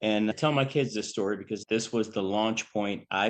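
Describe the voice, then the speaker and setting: A man speaks in a mid-Atlantic accent. His pitch sits fairly low. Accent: General American, mid-Atlantic. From Maryland, DC metro area. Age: 60s. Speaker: bodybuilder and fitness model. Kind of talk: casual interview chat. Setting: podcast recording. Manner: talkative.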